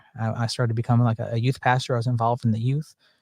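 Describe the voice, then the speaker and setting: The speaker has a slight Southern US accent. The recording is very clean, with a silent background. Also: man. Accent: Southern drawl, slight. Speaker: panel discussion host. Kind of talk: testimony. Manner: casual, halting.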